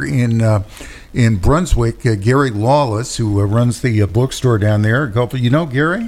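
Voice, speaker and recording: A man with a normal speaking voice talks at a moderate pace, medium pitch and ordinary pitch variation. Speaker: radio host. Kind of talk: radio interview. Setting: radio studio.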